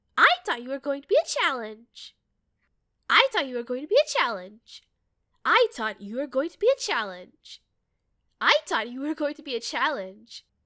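A woman's put-on character voice, playful in tone and high in pitch, with very wide pitch swings, big swings in loudness, a moderate pace and long, frequent pauses, in a very clean recording with a silent background. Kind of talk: game character audition lines. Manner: cocky, playful.

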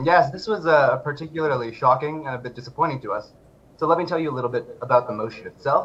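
A man at a fairly high pitch, very fast pace and ordinary pitch variation, with faint music in the background. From Indian background. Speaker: advocacy researcher; guest. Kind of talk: interview. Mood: earnest, advocating. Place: home room. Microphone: video call.

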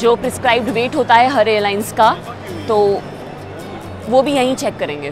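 Music plays clearly in the background as a woman talks at a fairly slow pace. The sound is dry, with no echo. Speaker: travel vlogger. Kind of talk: tutorial. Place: station. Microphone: phone near.

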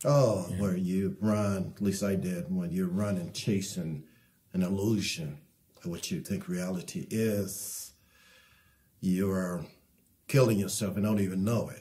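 A man with an American accent speaks fairly slowly in a dark, mellow tone, his intonation fairly even and broken by long, frequent pauses. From Detroit, US Midwest. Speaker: artist; interviewee. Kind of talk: interview. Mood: reflective, heartfelt. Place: home room. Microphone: lapel.

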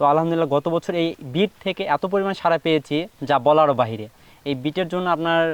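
A man with a plain, everyday voice speaks at a fairly high pitch, with ordinary pitch variation. The background is quiet, and the sound is dry and close with no echo. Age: 20s. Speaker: student farmer. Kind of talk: interview.

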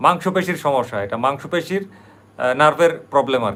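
A man's fairly high, bright, sharp voice with vocal fry and lively intonation. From Bangladesh, Brahmanbaria. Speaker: YouTube vlogger. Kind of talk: live stream monologue. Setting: livestream at night.

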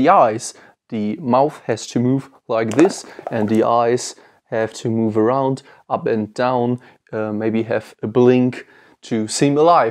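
Speaking very slowly, a man keeps ordinary pitch variation. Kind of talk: tutorial intro to camera. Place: workshop.

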